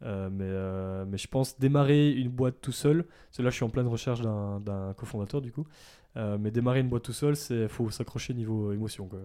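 A man's dark, mellow voice at medium pitch, moderate pace and ordinary pitch variation, over a quiet background. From Belgium, Ardennes (southern Belgium). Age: 20s. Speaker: ethical fashion brand founder. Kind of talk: casual interview. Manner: hesitant, many fillers.

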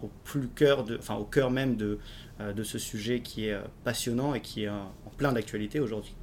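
A man speaks at a moderate pace in a medium pitch, with fairly even intonation. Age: 20s. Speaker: blockchain entrepreneur. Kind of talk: casual interview.

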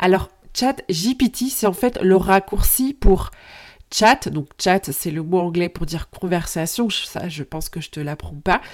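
A woman at a very slow pace, lively intonation and big swings in loudness, on a very clean recording with a silent background. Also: medium pitch for a woman. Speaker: podcast host. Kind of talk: solo podcast monologue. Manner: casual, direct address to listener.

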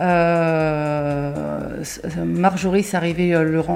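Noticeable background noise sits under a woman's voice. She has a fairly low pitch and fairly even intonation. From Paris region, France. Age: 30s. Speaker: kitchen designer. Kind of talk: interview. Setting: at the guest's home.

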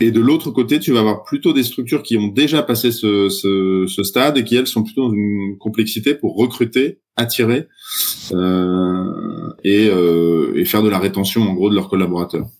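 A man with a plain, everyday voice speaks at a moderate pace in a fairly low pitch, with very even loudness and ordinary pitch variation. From France, Troyes. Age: 40s. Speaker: startup founder. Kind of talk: podcast interview.

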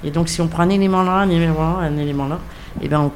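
With audible room echo, a woman speaks very fast at a fairly low pitch, keeping her intonation fairly even. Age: 60s. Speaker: retiree, association volunteer. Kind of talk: round-table conversation.

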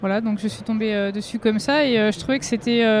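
This woman has an unremarkable speaking voice, a fairly high pitch and ordinary pitch variation. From Vosges, eastern France. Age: 30s. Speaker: sheltered workshop farming instructor, game tournament winner. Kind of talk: casual interview.

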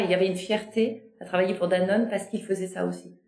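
With noticeable background noise behind her, a woman talks at a very fast pace in a monotone, flat delivery. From Normandy and Brittany, France. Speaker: podcast host, business consultant. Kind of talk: interview conversation.

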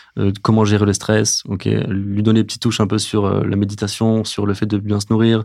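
On a very clean recording with a silent background, a man with a fairly low pitch and dark, mellow tone speaks at a moderate pace. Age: 30s. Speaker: physiotherapist. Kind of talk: casual interview. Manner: halting, many fillers.

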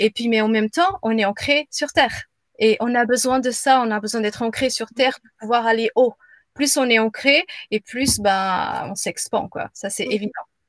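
At a moderate pace, a woman with a fairly high pitch and ordinary pitch variation shows big swings in loudness, recorded with a dry, close sound and no echo. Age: 40s. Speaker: business coach and yoga teacher. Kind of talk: casual chat. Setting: live video stream. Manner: halting.

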